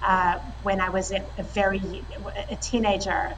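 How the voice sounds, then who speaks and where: Noticeable background noise sits under a woman speaking with a South African accent. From South Africa, raised partly in Italy and France. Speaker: tech company co-founder and CEO. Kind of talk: interview.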